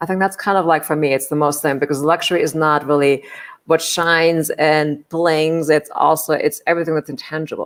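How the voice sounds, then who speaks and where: With a German accent, a woman talks at a fairly quick pace in a very deep, low pitch. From Germany. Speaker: hospitality executive and leadership coach. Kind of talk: interview.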